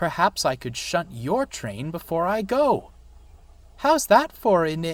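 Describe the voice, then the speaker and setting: A man's put-on character voice, high-pitched and fairly slow, with very wide pitch swings. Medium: read story.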